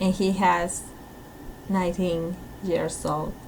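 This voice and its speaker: At a very slow pace, a woman with a Peruvian accent speaks with fairly even intonation. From Peru, Lima. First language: Spanish. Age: 30s. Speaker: teacher. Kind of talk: recorded self-introduction. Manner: halting.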